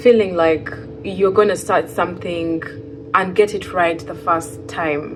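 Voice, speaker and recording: Through audible room echo and noticeable background noise, a woman speaks fairly slowly. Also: fairly low pitch for a woman, ordinary pitch variation. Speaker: fiber artist and vlogger. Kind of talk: casual vlog monologue. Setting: sitting on floor in new empty home. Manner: rambling, hesitant with fillers.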